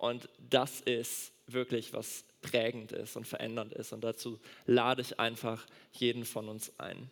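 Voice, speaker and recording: At a very slow pace, a man speaks with big swings in loudness. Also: medium pitch for a man. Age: 20s. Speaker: doctor and church speaker. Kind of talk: sermon. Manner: animated.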